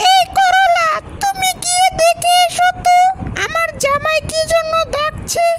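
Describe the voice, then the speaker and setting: A cartoonish character voice at a fairly slow pace and very even loudness, with noticeable background noise. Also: woman, extremely high pitch for a woman. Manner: refined standard Bangla.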